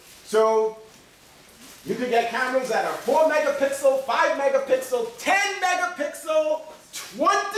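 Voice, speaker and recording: A man's extremely high voice at a very slow pace, with ordinary pitch variation and noticeable background noise. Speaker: college professor. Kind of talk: classroom lecture. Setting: classroom. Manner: joking, casual.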